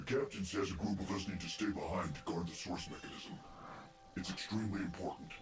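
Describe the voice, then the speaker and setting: Someone in a put-on character voice talks at a very fast pace, with clear background noise and slight echo. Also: man, fairly low pitch for a man. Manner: flat, informing.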